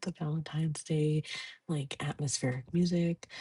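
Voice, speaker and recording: Soft-spoken and somewhat breathy, this voice has a dark, mellow tone. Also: woman. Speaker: podcaster. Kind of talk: casual chat.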